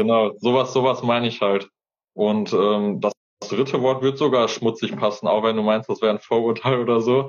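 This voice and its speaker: A man with an ordinary speaking voice talks at a moderate pace in a medium pitch with fairly even intonation. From Hesse, Fulda. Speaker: gardener and YouTuber. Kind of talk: interview conversation. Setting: Instagram live video stream. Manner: casual, colloquial.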